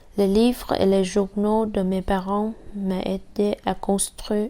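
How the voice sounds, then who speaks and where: Speaking very slowly with a Vietnamese accent, a woman keeps a monotone, flat intonation. Her tone is dark and mellow. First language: Vietnamese (speaking French). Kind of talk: personal testimony.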